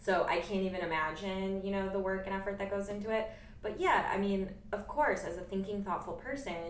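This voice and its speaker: With an American accent, a woman speaks at a fairly quick pace amid audible room echo and noticeable background noise. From US Northeast (western New York). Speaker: podcast host. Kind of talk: casual chat.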